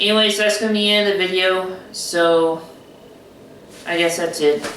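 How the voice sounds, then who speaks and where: Speaking in an American accent at a moderate pace, a woman with a medium pitch keeps her intonation fairly even, with audible room echo and noticeable background noise around her. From rural US South. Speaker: YouTuber. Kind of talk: casual vlog.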